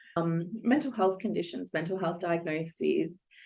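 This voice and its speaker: A woman speaks with an Australian accent at a fairly low pitch. Her pace is moderate, with ordinary pitch variation. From Australia, Melbourne. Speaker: psychologist and coach. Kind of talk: interview podcast.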